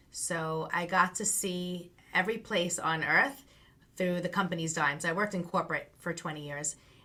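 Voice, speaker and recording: A woman talks at a moderate pace with a Long Island accent, fairly low pitch and a bright, sharp tone. Her intonation stays fairly even on a very clean recording with a silent background. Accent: Long Island New York. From US Northeast, Long Island, New York. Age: 50s. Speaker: branding coach. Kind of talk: interview.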